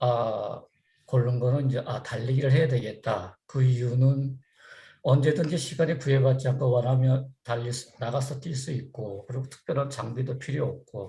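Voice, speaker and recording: A man's somewhat breathy voice, dark and mellow in tone, medium in pitch, at a moderate pace with fairly even intonation. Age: 60s. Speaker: running seminar speaker. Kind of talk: talk to online community group. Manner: halting, many fillers.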